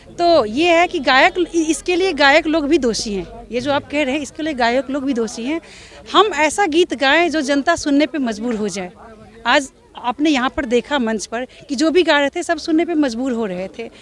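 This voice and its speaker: A woman's high voice at a moderate pace, lively in intonation, over noticeable background noise. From Darbhanga, Bihar. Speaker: folk singer. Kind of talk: interview answer. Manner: firm, earnest.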